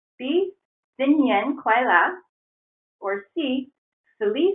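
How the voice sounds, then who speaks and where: A woman with an American accent talks at a very slow pace, leaving long, frequent pauses. Her pitch is high and her intonation lively. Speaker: webinar host. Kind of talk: webinar presentation with trivia. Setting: online webinar.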